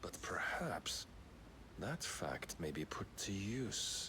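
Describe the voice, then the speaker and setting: Over loud background noise, a man whispers in a put-on character voice at a very slow pace. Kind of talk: archaic villain monologue. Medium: video game. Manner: solemn, formal, preaching.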